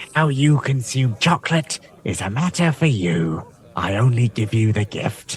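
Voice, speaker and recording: Putting on a character voice, a man speaks at medium pitch and a moderate pace with lively intonation. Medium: actual play. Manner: refined, archly polite.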